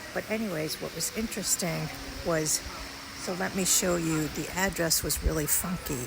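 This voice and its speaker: Someone soft-spoken talks at a moderate pace with an American accent. Noticeable background noise runs underneath. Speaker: travel vlogger. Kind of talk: casual vlog narration. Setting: outdoors. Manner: quiet, soft-spoken.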